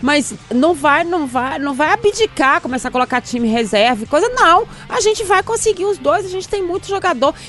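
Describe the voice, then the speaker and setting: A woman at a moderate pace, her pitch swinging very widely, over noticeable background noise. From Minas Gerais, Brazil (Poços de Caldas). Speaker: sports journalist. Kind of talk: casual chat.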